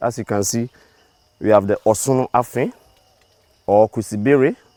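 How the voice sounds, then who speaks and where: With a dark, mellow tone and fairly low pitch, a man speaks at a moderate pace with ordinary pitch variation, recorded dry and close with no echo. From Ghana. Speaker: tour guide. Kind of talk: guided tour. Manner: explanatory, animated.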